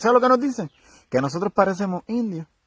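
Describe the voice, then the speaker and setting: On a very clean recording with a silent background, a man with a Puerto Rican accent talks very fast with very wide pitch swings. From Puerto Rico. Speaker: broadcaster. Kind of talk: interviewing his grandmother.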